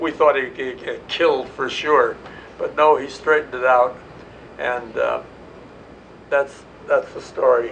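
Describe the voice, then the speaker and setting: Fairly slowly, a man talks while noticeable background noise carries on around him. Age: 80s+. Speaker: war veteran. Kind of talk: interview answer.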